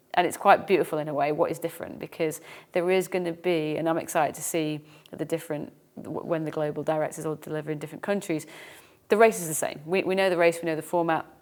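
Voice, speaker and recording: Talking at a very fast pace, a woman with an English accent keeps a fairly low pitch and fairly even intonation. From England. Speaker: fitness race organiser and podcast co-host. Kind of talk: casual chat.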